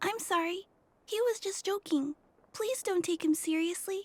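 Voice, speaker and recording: In a put-on character voice, the speaker sounds squeaky and calm, with an extremely high pitch and a moderate pace. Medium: video game. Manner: calm, polite.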